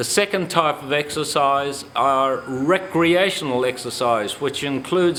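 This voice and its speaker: At a fairly slow pace, a man talks with ordinary pitch variation over noticeable background noise. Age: 70s. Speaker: exercise instructor. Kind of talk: instructional talk.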